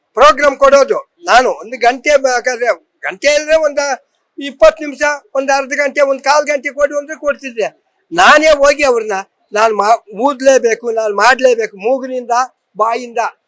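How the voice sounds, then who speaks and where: The speaker is a man with an extremely high pitch. His pitch variation is ordinary. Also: dry, close sound with no echo. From Karnataka, Tumakuru district (Madhugiri). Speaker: folk musician. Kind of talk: interview testimony. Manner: halting.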